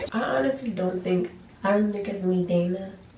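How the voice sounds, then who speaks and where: In a room with audible echo, a soft-spoken woman whispers at a moderate pace in a somewhat breathy voice. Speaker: college student vlogger. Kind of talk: casual chat. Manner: quiet, near whispering.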